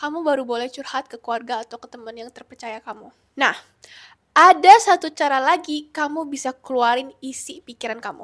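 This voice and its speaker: The speaker is a woman. The sound is dry and close, with no echo. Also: big swings in loudness. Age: 20s. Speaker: lifestyle vlogger. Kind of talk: self-help vlog talk to camera.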